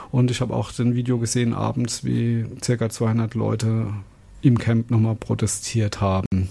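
A man's dark, mellow, somewhat breathy voice at medium pitch, moderate in pace, with monotone, flat intonation. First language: German. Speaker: community radio host. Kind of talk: radio show presenting. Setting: studio.

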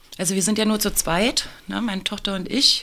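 A woman is speaking. Her voice has vocal fry. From Saxony-Anhalt, eastern Germany. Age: 40s. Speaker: teacher. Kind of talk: interview. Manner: hesitant, many fillers.

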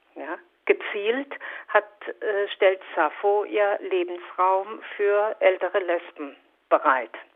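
Long pauses come often as a woman talks very slowly. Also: medium pitch for a woman, ordinary pitch variation. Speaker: resident of a housing project. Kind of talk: interview. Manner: halting.

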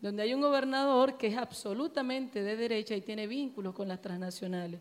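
A woman talks at a fairly quick pace, her pitch fairly high and its variation ordinary. It is an unremarkable speaking voice. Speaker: political activist, audience member. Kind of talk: audience Q&A discussion.

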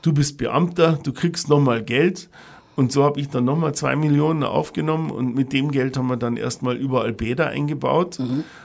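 Here is a man with a plain, everyday voice and a fairly high pitch. His intonation is fairly even and his pace moderate. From Bavaria, Ingolstadt. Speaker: hotel and restaurant manager. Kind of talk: interview.

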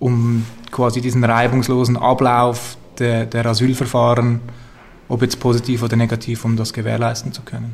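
A man speaks in a monotone, flat way. His voice is somewhat breathy. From Zurich, Switzerland. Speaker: activist. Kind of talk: interview. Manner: halting, repeats words.

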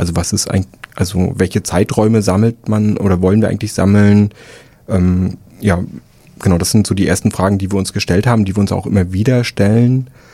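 Fairly quick and fairly even in intonation, a man talks in a dark, mellow tone at a fairly low pitch. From Rostock area, northern Germany. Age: 30s. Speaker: archivist, political educator. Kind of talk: radio interview. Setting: radio studio.

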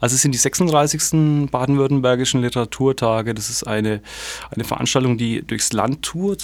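With noticeable background noise behind him, a man talks at a moderate pace and medium pitch, with ordinary pitch variation. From Germany. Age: 40s. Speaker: literary festival curator. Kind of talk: radio interview.

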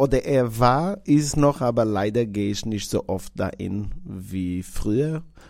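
A man with a Portuguese accent talks at a very slow pace with hardly any pauses, his medium pitch carrying lively intonation. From Portugal. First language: Portuguese (speaking German). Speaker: restaurant owner. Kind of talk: interview monologue.

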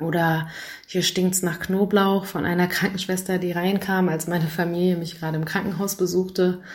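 Delivery is at a moderate pace in a monotone, flat intonation. The voice is somewhat breathy. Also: woman. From Hamburg, Germany. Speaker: lawyer and activist. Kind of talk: pre-recorded interview answer.

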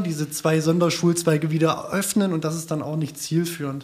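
Noticeable background noise sits behind a man speaking at a fairly quick pace and a fairly high pitch. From small town in Germany. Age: 30s. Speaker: community radio editor. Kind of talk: round-table discussion.

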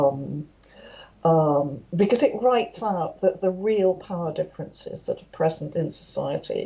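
Against noticeable background noise, a woman speaks at a fairly slow pace with a fairly low pitch. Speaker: professor, labour sociologist. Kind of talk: interview.

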